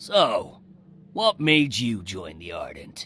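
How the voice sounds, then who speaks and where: Using a put-on character voice, a man speaks at a very slow pace in a raspy tone. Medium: video game. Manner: blunt, brisk.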